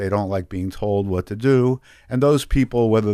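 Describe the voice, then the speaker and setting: Here is a man with a plain, everyday voice, talking at a fairly quick pace with ordinary pitch variation. The recording is very clean, with a silent background. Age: 60s. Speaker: addiction treatment executive. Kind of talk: radio interview. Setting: studio.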